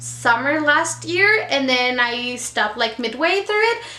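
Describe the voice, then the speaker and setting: In a Mexican accent, a woman speaks at a very slow pace with a high pitch, lively intonation and a raised, projected voice, with audible room echo. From Mexico. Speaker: book vlogger. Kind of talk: casual monologue. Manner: casual, hesitant with fillers.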